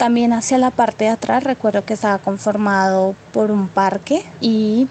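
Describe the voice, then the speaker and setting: At a medium pitch and moderate pace, a woman with an unremarkable speaking voice talks with ordinary pitch variation. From Colombia, Putumayo (Puerto Asís). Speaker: interviewee, rural migrant. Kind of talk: personal testimony.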